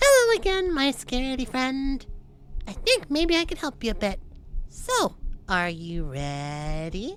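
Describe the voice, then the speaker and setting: A female-sounding, put-on character voice goes at a fairly slow pace. Clear background noise runs underneath. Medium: game stream. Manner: warm, encouraging.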